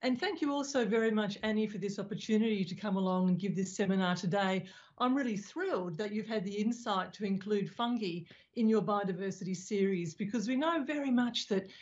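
Against a quiet background, a woman speaks at a fairly quick pace in a somewhat breathy voice with ordinary pitch variation. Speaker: speaker. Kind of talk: lecture. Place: home room. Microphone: video call.

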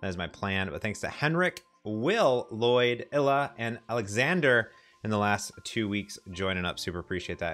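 Faint music plays in the background. A man speaks at a moderate pace. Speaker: software developer streamer. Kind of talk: casual livestream chat. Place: office.

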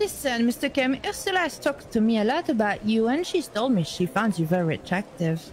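Noticeable background noise sits behind a woman talking at a fairly quick pace with hardly any pauses. Her fairly high voice swings very widely in pitch while her loudness stays very even. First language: French. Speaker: roleplay game streamer. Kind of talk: in-character roleplay banter. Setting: online game voice chat.

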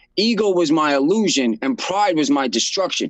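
In a New York accent, a man talks at a moderate pace with a fairly high pitch and lively intonation. The sound is dry with no echo, and the background is quiet. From Brooklyn, New York. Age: 30s. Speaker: nonprofit founder in addiction recovery. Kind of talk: interview. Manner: casual. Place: office. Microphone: video call.

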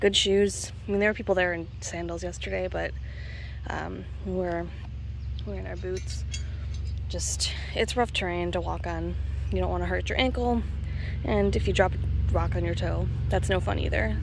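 Long, frequent pauses break up the speech amid noticeable background noise. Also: woman, very deep, low pitch for a woman, ordinary pitch variation, moderate pace, dry sound with no echo. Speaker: rockhounding channel host. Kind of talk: casual tutorial vlog chat. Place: open country. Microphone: phone near.

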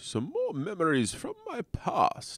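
A man speaks in a put-on character voice. The recording is very clean, with a silent background. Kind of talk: improvised comedy game commentary. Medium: role play. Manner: theatrical, chuckling.

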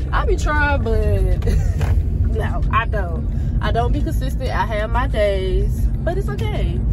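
A woman's fairly slow speech has a dry sound with no echo, set against loud background noise. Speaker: vlogger. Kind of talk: casual vlog chat. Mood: relaxed, chatty, laughing. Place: car. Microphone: phone near.

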